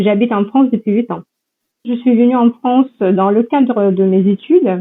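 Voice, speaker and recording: In a plain, everyday voice, a woman talks at a moderate pace with ordinary pitch variation. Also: fairly high pitch for a woman. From Ukraine, Donbass. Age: 20s. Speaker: university researcher and lecturer. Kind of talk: interview.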